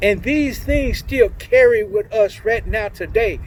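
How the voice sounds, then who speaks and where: Over noticeable background noise, a man with an American accent talks at a fairly slow pace in a high pitch for a man. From Oklahoma City, US. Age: 60s. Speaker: community speaker, former prisoner. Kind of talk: motivational talk. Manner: animated.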